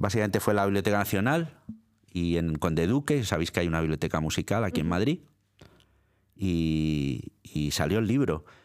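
A very deep, low-pitched man speaks at a moderate pace with lively intonation and very even loudness on a very clean recording with a silent background. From Italy, born in Milan. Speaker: radio presenter and librarian. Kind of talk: interview. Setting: studio. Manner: halting, many repetitions.

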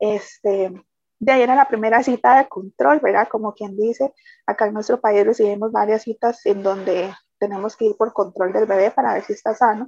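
A woman speaks at a moderate pace in a normal speaking voice, her fairly high pitch held to fairly even intonation, with a dry, close sound and no echo. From Costa Rica, San José. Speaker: bereaved mother. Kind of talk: testimony.

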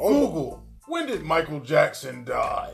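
Someone uses a put-on character voice at a fairly slow pace while clear music plays in the background. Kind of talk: posh.

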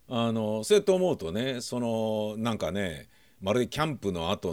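A man with an ordinary speaking voice talks at a moderate pace in a fairly low pitch, his intonation lively, on a very clean recording with a silent background. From Tokyo, Nakano. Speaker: podcaster. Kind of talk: casual monologue.

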